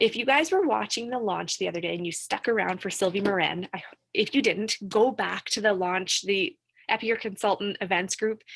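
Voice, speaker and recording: Speaking at a fairly quick pace, a woman sounds animated. Her pitch is medium, with ordinary variation. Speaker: direct sales team leader. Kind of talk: live-streamed training session. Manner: fast.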